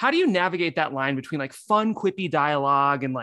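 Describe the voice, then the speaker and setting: Lively intonation and a bright, sharp tone mark this man's fairly high-pitched voice. The recording is very clean, with a silent background. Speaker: podcast producer. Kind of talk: casual interview.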